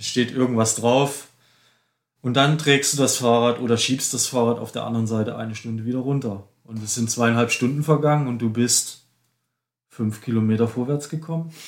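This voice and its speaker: In an unremarkable speaking voice, a man talks at a moderate pace with medium pitch and fairly even intonation. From eastern Germany, Dresden (Saxony). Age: 50s. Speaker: ultracyclist. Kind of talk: casual interview. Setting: studio, face to face.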